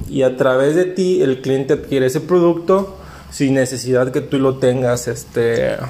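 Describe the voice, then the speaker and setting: Against noticeable background noise, a man delivers his words at a fairly slow pace. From Mexico, Veracruz. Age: young. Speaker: podcast host, small business owner. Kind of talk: casual chat.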